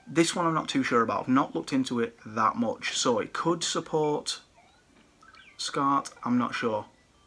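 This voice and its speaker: Lively intonation carries this British accent at a moderate pace. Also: man, fairly high pitch for a man. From UK. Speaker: retro gaming YouTuber and collector. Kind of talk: product showcase video. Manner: casual, chatty. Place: home room. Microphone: phone near.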